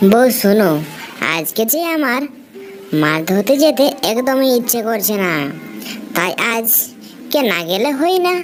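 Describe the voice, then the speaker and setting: A woman's cartoonish character voice, fairly high-pitched and fairly slow, over clear background noise. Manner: gentle, yielding.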